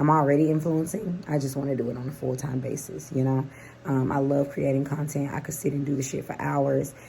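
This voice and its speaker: Delivered at a fairly quick pace, the speech has fairly even intonation and audible room echo. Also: woman, very deep, low pitch for a woman. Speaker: lifestyle vlogger and psychic reader. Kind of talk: casual vlog monologue.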